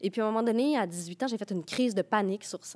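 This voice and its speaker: A woman's medium-pitched voice, an unremarkable speaking voice, in a dry, close sound with no echo. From Quebec, Rivière-du-Loup. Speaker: playwright. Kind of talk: casual chat.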